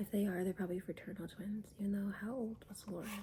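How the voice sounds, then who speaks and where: Someone is whispering in a somewhat breathy way. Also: woman. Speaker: YouTuber reviewing reality TV. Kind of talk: casual vlog commentary.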